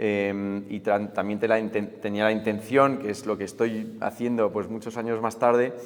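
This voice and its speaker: A man's monotone, flat delivery at a moderate pace. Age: 40s. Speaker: writer and tech critic. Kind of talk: interview. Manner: hesitant, many fillers.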